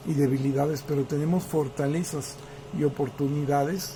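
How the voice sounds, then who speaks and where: Monotone, flat intonation from a man with a fairly high pitch. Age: 60s. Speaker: political commentator. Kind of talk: political commentary monologue. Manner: hesitant, many fillers.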